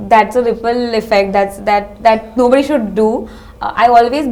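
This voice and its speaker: Over noticeable background noise, a woman talks at a fairly quick pace with monotone, flat intonation. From Kolkata, India. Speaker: MBA interview candidate. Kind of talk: mock job interview. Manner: halting.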